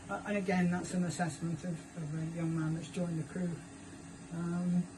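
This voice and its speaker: A woman speaks at a moderate pace in a fairly low pitch, her dark, mellow tone somewhat breathy, with fairly even intonation and audible room echo. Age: 70s. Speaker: lifeboat station volunteer tour guide. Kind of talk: guided tour explanation. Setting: aboard a lifeboat.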